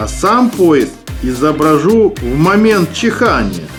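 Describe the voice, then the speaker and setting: Lively intonation at a very slow pace over music in the background. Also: man. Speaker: horror storyteller who sculpts clay figures. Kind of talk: scary story narration with ASMR sounds.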